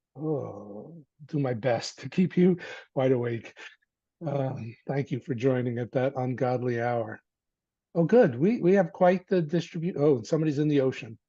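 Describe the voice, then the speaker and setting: Speaking in a dark, mellow tone, a man keeps a medium pitch, a moderate pace and ordinary pitch variation. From New Jersey. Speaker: university lecturer. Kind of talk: online lecture. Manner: animated.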